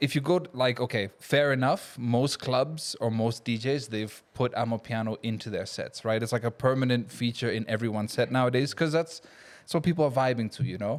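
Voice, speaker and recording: This man talks with an American accent at a medium pitch, using hardly any pauses. His pace is fairly quick and his pitch varies in an ordinary way. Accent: American-sounding. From Kenya. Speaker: DJ and event organizer. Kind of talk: casual chat.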